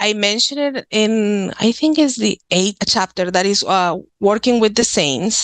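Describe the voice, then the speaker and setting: A woman with a strong Mexican accent talks at a fairly high pitch and a fairly slow pace with hardly any pauses and ordinary pitch variation, in a dry, close sound with no echo. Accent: thick Mexican Spanish. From Mexico, Nuevo León. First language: Spanish. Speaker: author and witchcraft practitioner. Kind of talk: podcast interview.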